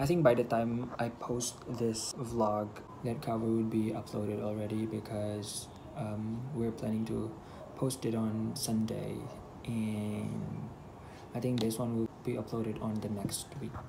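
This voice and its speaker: A man speaks in a monotone, flat intonation. Noticeable background noise runs underneath. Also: fairly slow pace. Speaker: vlogger. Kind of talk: casual vlog chat. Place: home room. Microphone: earbuds.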